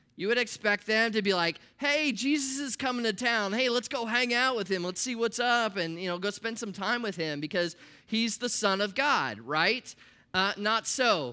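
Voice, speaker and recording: In an American accent, a man uses a raised, projected voice that is high-pitched with a bright, sharp tone, speaking at a moderate pace with ordinary pitch variation. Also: very clean recording, silent background. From US Midwest, Nebraska. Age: 40s. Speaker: pastor. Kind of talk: sermon. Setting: church. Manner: animated.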